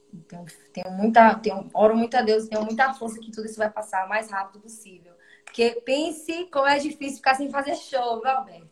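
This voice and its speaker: A woman's fairly high voice at a fairly quick pace, with ordinary pitch variation, big swings in loudness, and noticeable background noise. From Brazil, Alagoas (Maceió). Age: 20s. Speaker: singer. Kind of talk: interview on a live stream.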